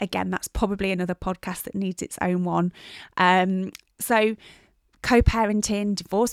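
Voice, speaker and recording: With an English accent, a woman speaks at a moderate pace in a very clean, dry, close recording with a silent background and no echo. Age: 40s. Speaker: personal trainer and podcast host. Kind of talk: casual solo chat.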